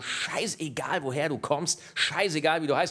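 A man speaks at a moderate pace. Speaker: comedy show host. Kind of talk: stand-up. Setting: stage with audience. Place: stage. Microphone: handheld.

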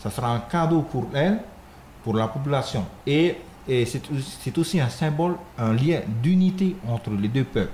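In a room with audible echo and light background noise, a man with a fairly high pitch talks at a fairly slow pace with long, frequent pauses. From French Polynesia. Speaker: dance troupe leader; guest. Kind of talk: radio interview. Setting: radio studio. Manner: halting, many repetitions. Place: studio.

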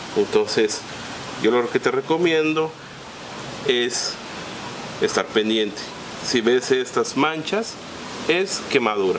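A man with a fairly high pitch talks at a very slow pace, leaving long, frequent pauses. His intonation is lively, and there is noticeable background noise. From Yucatán, Mexico. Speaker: plant grower and channel host. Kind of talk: tutorial. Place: garden.

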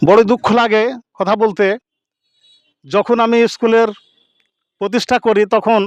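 Delivered in a monotone, flat manner, the voice keeps a very even loudness, and the sound is dry and close with no echo. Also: man, high pitch for a man. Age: 70s. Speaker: retired headmaster. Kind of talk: speech at a meeting.

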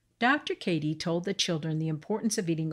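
Somewhat breathy, a woman speaks at a moderate pace in an animated, gentle tone. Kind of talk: bedtime story narration for kids. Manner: gentle, clear storyteller pace; animated, changes tone for each character's lines.

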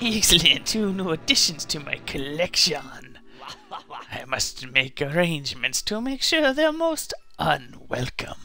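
In a put-on character voice, a man speaks fairly slowly at a high pitch with very wide pitch swings, over clear background noise. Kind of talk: comic villain voice. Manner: gloating, dastardly.

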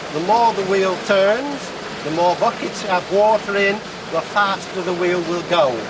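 Here a man speaks at a fairly slow pace. Noticeable background noise is present. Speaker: miller. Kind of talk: demonstration. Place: waterside.

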